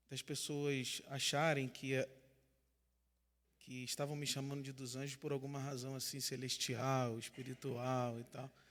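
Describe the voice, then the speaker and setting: In a Rio de Janeiro accent, a man talks at a fairly slow pace with monotone, flat intonation. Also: medium pitch for a man. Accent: Rio de Janeiro (carioca), noticeable. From Brazil, São Gonçalo, Rio de Janeiro state. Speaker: pastor and theology teacher. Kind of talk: lecture.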